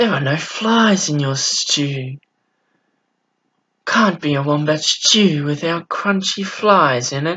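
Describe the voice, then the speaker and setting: In a put-on character voice at a middle pitch, the speaker talks at a fairly slow pace with long, frequent pauses, and a hissing sound runs through the clip. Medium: read story.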